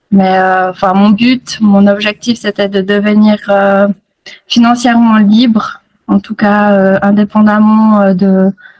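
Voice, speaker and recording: Monotone and flat, a woman at medium pitch talks at a very slow pace. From Switzerland, Fribourg region. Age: 30s. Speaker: nurse, program student. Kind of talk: interview testimony. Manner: hesitant, many fillers.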